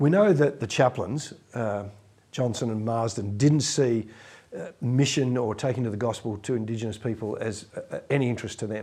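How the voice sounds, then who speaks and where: This man has a dark, mellow tone at medium pitch, speaking at a moderate pace with ordinary pitch variation. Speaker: interviewer and podcast host. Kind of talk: interview.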